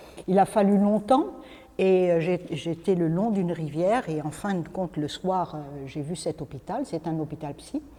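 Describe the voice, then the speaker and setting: There is noticeable background noise as a woman speaks at a fairly slow pace. Her pitch is fairly low, with ordinary pitch variation. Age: 60s. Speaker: spiritual speaker, former psychiatric nurse. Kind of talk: talk to a group, personal story. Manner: hesitant, many fillers.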